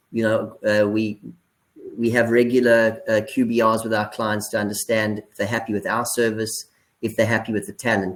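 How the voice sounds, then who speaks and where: A man with a South African accent speaks at a medium pitch. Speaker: business executive. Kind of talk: webinar discussion. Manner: halting.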